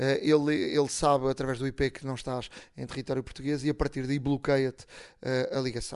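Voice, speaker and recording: Against a quiet background, a man of medium pitch speaks at a moderate pace in a flat monotone. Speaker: tech podcast host. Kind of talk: casual chat.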